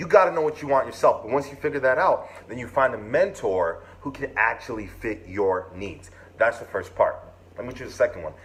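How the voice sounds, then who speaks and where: A man talks at a moderate pace. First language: not English. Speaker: podcast host and mentoring group cofounder. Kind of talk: motivational talk. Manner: energetic, preachy.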